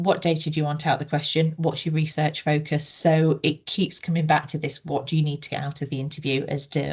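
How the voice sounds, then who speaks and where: A woman's very deep, low, somewhat breathy voice with a northeast English accent, monotone, flat intonation, and a fairly quick pace. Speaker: researcher, co-author presenting. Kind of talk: webinar Q&A discussion.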